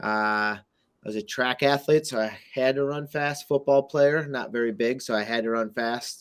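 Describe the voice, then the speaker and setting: Using an ordinary speaking voice, this man has a medium pitch and ordinary pitch variation at a moderate pace. The background is silent on a very clean recording. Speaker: crypto community show host. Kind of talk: casual chat. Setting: live video Twitter Space.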